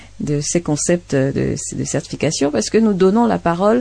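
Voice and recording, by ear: At a moderate pace, a woman with a fairly low pitch, lively intonation, a dark, mellow tone and vocal fry speaks.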